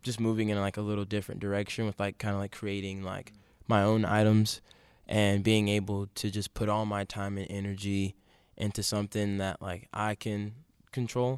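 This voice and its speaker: A man's fairly low, flat, monotone voice in an American accent at a moderate pace, dry and close with no echo, on a very clean recording with a silent background. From Baltimore, Maryland. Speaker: vintage clothing entrepreneur. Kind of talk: casual chat.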